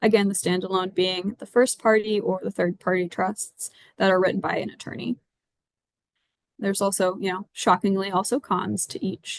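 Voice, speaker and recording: Recorded with a dry, close sound with no echo, a woman talks at a moderate pace and medium pitch with fairly even intonation. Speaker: attorney. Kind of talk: presentation.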